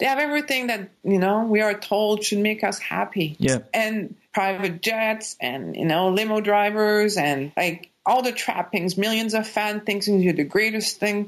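With a Quebec French accent, a medium-pitched woman speaks at a fairly slow pace with hardly any pauses, ordinary pitch variation and very even loudness. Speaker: doctor and life coach. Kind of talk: interview.

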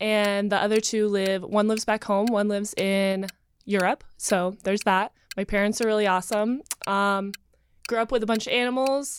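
A plain, everyday voice with an American accent, fairly even intonation and a moderate pace, on a very clean recording with a silent background. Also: woman. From North Carolina, Asheville. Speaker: dating show contestant, model. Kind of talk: casual chat.

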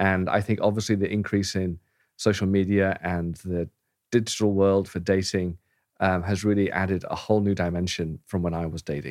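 Heard in a very clean recording with a silent background, a man with an English accent speaks at a moderate pace in a very deep, low pitch and a monotone, flat intonation. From England. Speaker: pastor. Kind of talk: casual interview.

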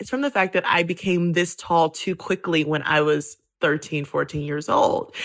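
This woman has an ordinary speaking voice, fairly low in pitch. Her intonation is lively and her pace moderate. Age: 30s. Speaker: writer. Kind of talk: casual chat.

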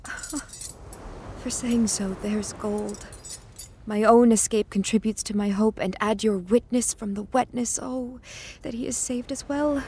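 There is noticeable background noise. A woman speaks with fairly even intonation. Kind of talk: audio drama, Shakespeare verse. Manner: earnest, clear, hopeful, gently determined.

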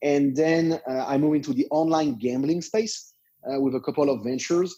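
A dark, mellow tone in a French accent, with ordinary pitch variation and a moderate pace. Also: man. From France. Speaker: internet entrepreneur. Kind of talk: interview. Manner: halting.

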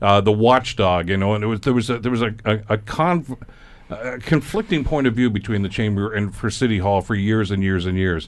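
An ordinary speaking voice with a Canadian accent goes at a fairly quick pace. Its pitch variation is ordinary. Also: man, fairly low pitch for a man. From Canada, Hamilton, Ontario. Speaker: radio talk show host. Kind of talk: radio panel discussion. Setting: radio studio.

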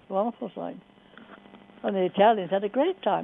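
The pace is fairly quick. Noticeable background noise is present throughout. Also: woman. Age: 90s. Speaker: war veteran. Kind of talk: casual chat.

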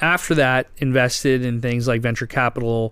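The recording is very clean, with a silent background. A normal speaking voice moves at a fairly quick pace. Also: man. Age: 30s. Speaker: finance podcast host. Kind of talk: interview.

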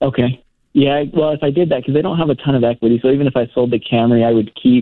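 At a fairly quick pace and with fairly even intonation, a man talks in a plain, everyday voice. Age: 20s. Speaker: real estate worker, caller. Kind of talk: phone-in call. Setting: phone call.

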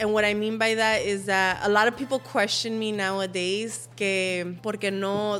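With an American accent, a woman uses a normal speaking voice at a medium pitch, moderate pace and ordinary pitch variation. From Los Angeles, San Fernando Valley. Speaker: social media influencer. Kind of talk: casual chat.

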